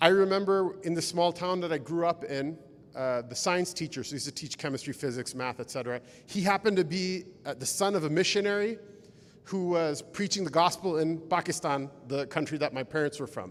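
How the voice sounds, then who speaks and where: In a Pacific Northwest accent, a man speaks at a high pitch with ordinary pitch variation. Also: fairly quick pace. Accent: American, Pacific Northwest. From rural Washington State, US. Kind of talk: lecture. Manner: casual, conversational.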